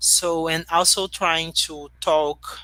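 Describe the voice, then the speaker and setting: On a very clean recording with a silent background, a woman with a Portuguese accent speaks in a bright, sharp tone. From Brazil, Rio de Janeiro. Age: young. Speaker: human rights advocate. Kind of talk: interview. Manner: halting.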